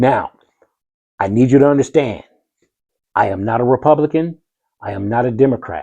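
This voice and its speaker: A man's dark, mellow tone, moderately paced, with ordinary pitch variation. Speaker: content creator and DJ. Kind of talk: political explainer monologue. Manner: animated.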